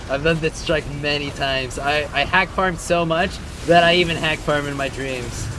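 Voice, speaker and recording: An American accent at a moderate pace, with noticeable background noise. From Virginia, US. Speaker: gaming streamer. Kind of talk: casual live-stream chat while gaming.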